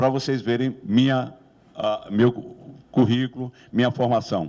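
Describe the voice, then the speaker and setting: A man with an unremarkable speaking voice, medium pitch, and moderate pace. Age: 60s. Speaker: professor running for rector. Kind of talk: election debate speech. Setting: campus debate with audience.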